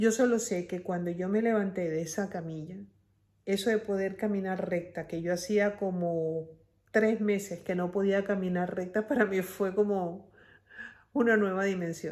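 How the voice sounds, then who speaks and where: A plain, everyday voice moves at a fairly slow pace. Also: woman, medium pitch for a woman, fairly even intonation. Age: 60s. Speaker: family caregiver vlogger. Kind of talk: personal vlog monologue.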